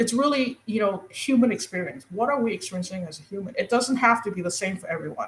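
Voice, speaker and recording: A woman talks very fast with hardly any pauses, her fairly high, somewhat breathy voice carrying lively intonation and big swings in loudness. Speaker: guest on a spiritual talk show. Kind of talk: casual conversation. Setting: live internet radio stream. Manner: halting, stumbling with many fillers.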